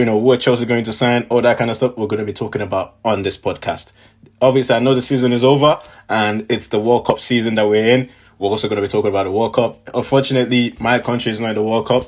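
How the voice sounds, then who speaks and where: A man talks at a very fast pace in a medium pitch. The recording is very clean, with a silent background. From Nigeria, moved to the UK at eleven. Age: 20s. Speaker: football podcast host. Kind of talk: casual podcast talk. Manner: animated.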